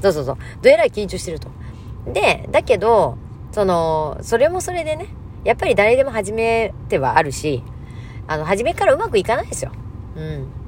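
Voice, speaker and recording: A woman speaks at a moderate pace, her loudness swinging widely. Noticeable background noise runs under her voice. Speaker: mental health counselor and MC. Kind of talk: casual monologue.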